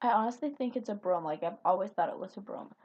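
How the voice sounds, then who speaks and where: With a slight Minnesota accent, a woman talks in an animated tone with ordinary pitch variation. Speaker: video blogger. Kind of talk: casual chat.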